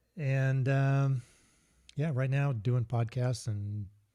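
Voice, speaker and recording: The recording is very clean, with a silent background. A man with a dark, mellow tone sounds somewhat breathy and uses ordinary pitch variation. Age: 60s. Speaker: engineer and outdoor gear company founder, author. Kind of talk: casual interview chat. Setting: live podcast.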